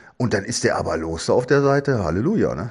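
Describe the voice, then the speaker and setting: A man speaks at a very fast pace. His tone is dark and mellow. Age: 60s. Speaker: former footballer and football pundit. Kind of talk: casual chat. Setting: at home, remote. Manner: halting.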